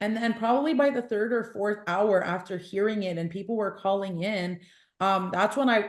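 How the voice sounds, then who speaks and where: A woman talks fairly quickly in a normal speaking voice with a Canadian accent. Her pitch sits in the medium range with ordinary variation. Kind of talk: podcast interview.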